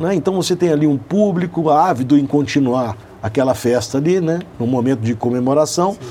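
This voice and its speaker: This man speaks at a fairly quick pace with a fairly high pitch and lively intonation. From Belo Horizonte, Brazil. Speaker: motorsport event organizer, company CEO. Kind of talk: radio interview. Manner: hesitant, many fillers.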